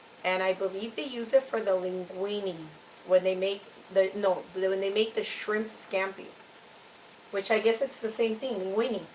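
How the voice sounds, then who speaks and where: A woman speaks at medium pitch and a moderate pace with fairly even intonation, with noticeable background noise behind her. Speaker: cooking vlogger. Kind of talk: casual tutorial. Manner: chatty.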